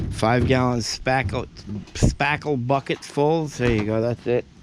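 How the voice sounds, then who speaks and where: A man delivers his words with lively intonation at a moderate pace, noticeable background noise behind him. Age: 60s. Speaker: oil tank contractor. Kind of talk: casual on-site narration.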